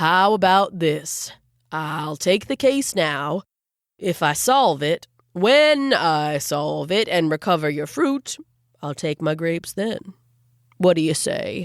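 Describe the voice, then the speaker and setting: A woman uses a put-on character voice at a fairly low pitch. The recording is very clean, with a silent background. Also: fairly slow pace. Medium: read story.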